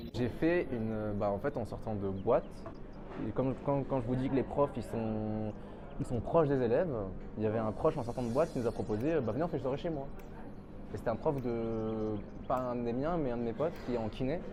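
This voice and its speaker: A man speaks at a fairly quick pace. His voice sits at medium pitch with a dark, mellow tone. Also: ordinary pitch variation. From France, Lyon area. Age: 20s. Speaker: pharmacy student. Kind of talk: testimony interview. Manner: casual, hesitant with fillers.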